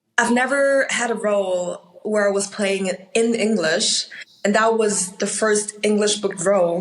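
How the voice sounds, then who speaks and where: A woman with a Chinese accent, medium pitch, fairly even intonation, very even loudness and a fairly slow pace, with noticeable background noise. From Austria. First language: Mandarin Chinese. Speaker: actor. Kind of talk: interview.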